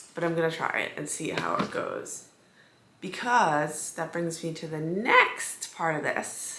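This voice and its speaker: With a slight echo, a woman puts on a raspy character voice, fairly low in pitch and at a fairly slow pace. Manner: excited.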